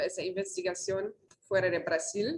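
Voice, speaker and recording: This is a woman with a medium-pitched voice. She talks at a fairly slow pace. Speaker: researcher. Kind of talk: invited talk. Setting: auditorium, video call. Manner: halting, many fillers.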